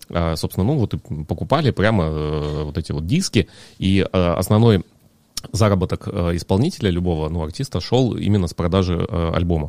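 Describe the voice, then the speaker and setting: With a dark, mellow tone and a very deep pitch, a man talks at a moderate pace with ordinary pitch variation in a dry, close sound with no echo. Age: 30s. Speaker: amateur bartender. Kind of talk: casual chat.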